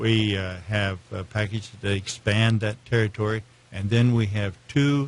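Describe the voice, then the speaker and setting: A somewhat breathy man's voice, fairly low in pitch, with fairly even intonation. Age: 70s. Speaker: search engine marketing salesman. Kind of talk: interview. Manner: halting, many fillers.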